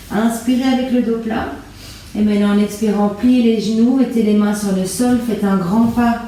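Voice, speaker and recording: Calm in tone, a woman with a Belgian accent speaks at a fairly slow pace and medium pitch with ordinary pitch variation, in a room with audible echo and noticeable background noise. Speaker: yoga teacher. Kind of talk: guided yoga class. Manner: calm instructional pacing.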